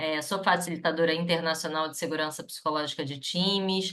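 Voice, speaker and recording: Her pitch sits fairly low. This woman's intonation stays monotone and flat. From Rio de Janeiro, Brazil. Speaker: psychologist and HR consultant. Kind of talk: webinar panel talk.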